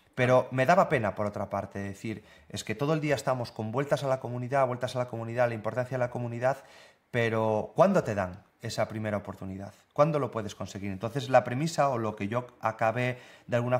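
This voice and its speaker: A man's fairly quick speech carries ordinary pitch variation. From northern Spain. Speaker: software developer and content creator; content creator. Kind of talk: casual interview. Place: home room.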